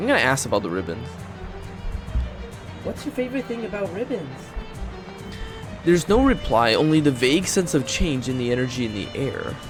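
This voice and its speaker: A man with a fairly high pitch speaks with very wide pitch swings and long, frequent pauses. Music plays in the background. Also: fairly quick pace. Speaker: vtuber streamer. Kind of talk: reading game text aloud on stream.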